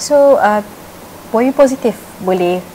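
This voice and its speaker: Lively intonation over light background noise. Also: woman. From Malaysia. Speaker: TV interviewer. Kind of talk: casual interview. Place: shop.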